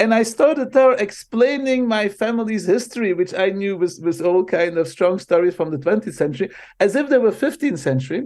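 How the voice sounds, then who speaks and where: A man with a Dutch accent talks at a fairly quick pace with hardly any pauses, using a high pitch, lively intonation and an animated tone. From Belgium (Flanders). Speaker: marketing professor. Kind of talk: interview.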